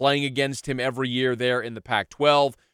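The speech comes at a moderate pace, with a dry, close sound and no echo. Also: man. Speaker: sports radio host and podcaster. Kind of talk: solo sports podcast monologue. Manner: enthusiastic, animated.

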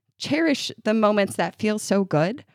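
A woman with an American accent speaks with lively intonation and vocal fry, recorded with a dry, close sound and no echo. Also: very clean recording, silent background. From upstate New York. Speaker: podcast co-host, mother. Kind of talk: casual chat.

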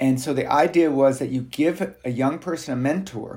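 A man talks at a fairly slow pace in a plain, everyday voice. His pitch sits at a medium level. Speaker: university researcher. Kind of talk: interview answers. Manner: casual, conversational.

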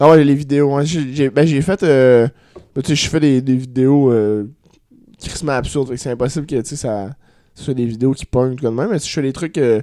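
A man with a dark, mellow tone talks at a moderate pace, his medium pitch moving in an ordinary way. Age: 20s. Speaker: comedian. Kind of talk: casual chat.

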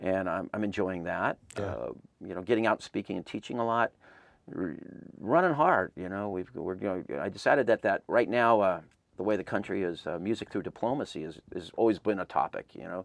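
In a plain, everyday voice, a man with an American accent and a fairly low pitch talks at a fairly quick pace with ordinary pitch variation, in a dry, close sound with no echo over a quiet background. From Southern California. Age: 50s. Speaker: music festival founder. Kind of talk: interview.

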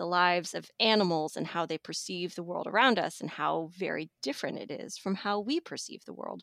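On a very clean recording with a silent background and a dry, close sound with no echo, a woman talks at a moderate pace in a fairly low pitch with ordinary pitch variation and an ordinary speaking voice. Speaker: magazine editor. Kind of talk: casual chat.

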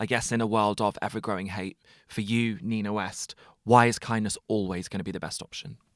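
On a very clean recording with a silent background, a man with an English accent talks at a fairly quick pace with fairly even intonation. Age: 20s. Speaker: podcast host. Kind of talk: casual chat; scripted narration.

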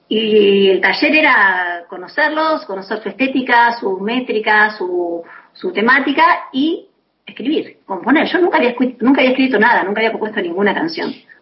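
Pitch leaps up and down over a very wide range. The delivery moves at a moderate speed. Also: woman, fairly high pitch for a woman. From Buenos Aires, Argentina. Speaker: singer-songwriter. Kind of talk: interview. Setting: phone call.

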